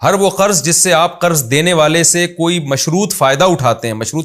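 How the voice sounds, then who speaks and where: A man speaks in a normal speaking voice with lively intonation. The recording is very clean with a silent background. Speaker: Islamic scholar (mufti) answering religious questions. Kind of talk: religious lecture answering viewers' questions.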